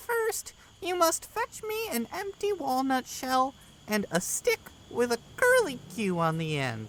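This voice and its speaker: Soft-spoken and female-sounding, a put-on character voice comes at a high pitch and a fairly slow pace. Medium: read story. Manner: kind, soft-spoken.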